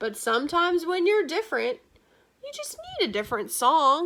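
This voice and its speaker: A woman uses a put-on character voice at an extremely high pitch. Her pitch swings are very wide, and her pace is moderate. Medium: read story.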